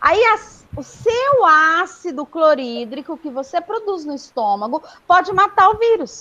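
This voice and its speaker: The woman speaks at an extremely high pitch. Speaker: school teacher. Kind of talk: online class. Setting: live video class.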